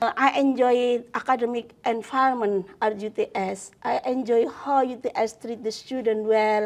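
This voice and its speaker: Against a quiet background, a woman with a fairly high pitch talks in an Indonesian accent. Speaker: law professor. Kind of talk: interview. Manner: hesitant, many fillers.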